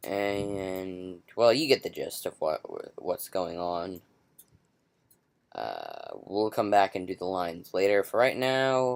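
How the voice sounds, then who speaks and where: Quiet and very slow, a man talks in a fairly low voice with ordinary pitch variation. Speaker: software tutorial maker. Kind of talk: tutorial. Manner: hesitant, humming to self.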